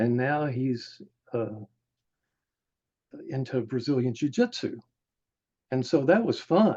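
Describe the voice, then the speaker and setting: A man's voice comes through fairly high in pitch with a dark, mellow tone. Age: 70s. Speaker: martial arts teacher. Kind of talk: casual interview.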